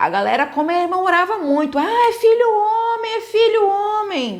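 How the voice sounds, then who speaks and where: A woman is speaking. Her pace is fairly slow. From Bahia, Brazil. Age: 30s. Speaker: emotional health coach. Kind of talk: live webinar talk. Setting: live online stream.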